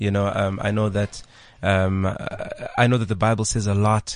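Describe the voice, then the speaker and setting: A man's fairly low voice against a quiet background. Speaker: radio host. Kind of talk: casual chat. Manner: animated.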